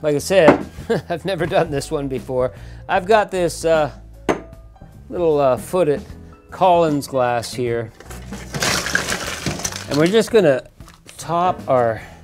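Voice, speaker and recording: Against clear music in the background, a man speaks at a very slow pace. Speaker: home bartender host. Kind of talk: tutorial. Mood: playful, joking. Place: bar.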